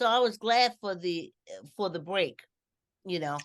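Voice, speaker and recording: A woman's pitch swings very widely while she keeps a moderate pace. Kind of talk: casual podcast talk.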